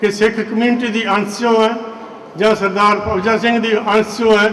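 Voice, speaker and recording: A man speaks at a high pitch in a flat, monotone delivery. Noticeable background noise runs underneath. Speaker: school representative. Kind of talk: public speech at school event.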